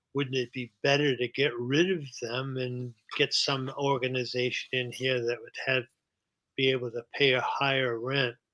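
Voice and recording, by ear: Speaking at a moderate pace, a man with a bright, sharp tone and medium pitch shows little pitch movement.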